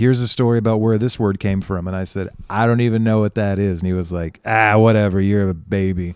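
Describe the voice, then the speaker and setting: A man with an American accent, fairly low in pitch, talking very fast with fairly even intonation, on a very clean recording with a silent background. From United States. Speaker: podcast host. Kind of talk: casual chat.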